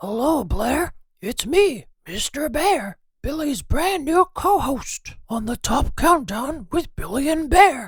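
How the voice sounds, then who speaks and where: In a put-on character voice, a woman speaks high in pitch at a fairly slow pace. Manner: cheery, playful.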